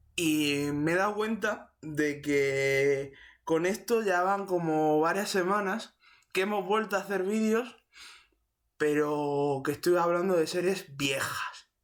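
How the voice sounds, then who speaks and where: A man speaks at a very slow pace in a high voice, his loudness very even throughout. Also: ordinary pitch variation. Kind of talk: casual talk to camera. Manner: stutters; unscripted, rambling.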